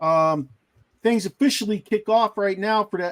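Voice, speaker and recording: A man's high-pitched voice with a slight Pittsburgh accent at a moderate pace, in a dry, close sound with no echo. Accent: slight Pittsburgh accent, still noticeable. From Pittsburgh area, Pennsylvania. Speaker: sports podcast host. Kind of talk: casual chat. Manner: animated.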